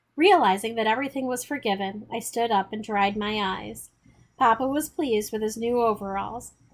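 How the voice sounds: Pitch shifts in an ordinary way across this natural reading voice.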